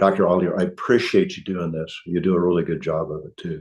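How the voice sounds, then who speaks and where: A man with a Midwestern US accent at a fairly quick pace. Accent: US Midwest. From Kansas (Hutchinson). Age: 70s. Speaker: chiropractor. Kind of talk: podcast interview. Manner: halting, with many repeats.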